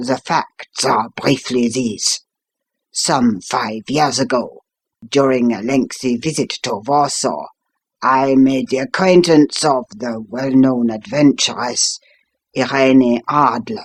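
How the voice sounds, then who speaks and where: A man uses a put-on character voice, raspy and at a medium pitch. He goes at a fairly slow pace, with a dry, close sound and no echo. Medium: read story. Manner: formal, imperious.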